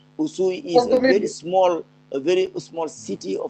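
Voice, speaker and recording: With noticeable background noise, a man's voice comes through dry and close, with no echo. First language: French. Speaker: civil society leader. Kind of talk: online meeting remarks.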